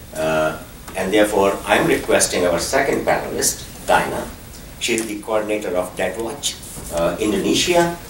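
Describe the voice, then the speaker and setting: Amid noticeable background noise and audible room echo, a man with a fairly low pitch speaks at a moderate pace with lively intonation. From Philippines, Cordillera region. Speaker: panel moderator. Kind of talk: panel introduction.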